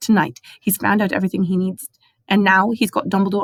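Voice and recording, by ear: The background stays quiet. A natural voice reads aloud.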